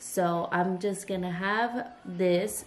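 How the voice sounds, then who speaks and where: In a weary tone, a woman speaks with fairly even intonation. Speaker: vlogger. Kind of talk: casual vlog chat. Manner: sick, weary, low-energy voice. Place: kitchen. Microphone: phone near.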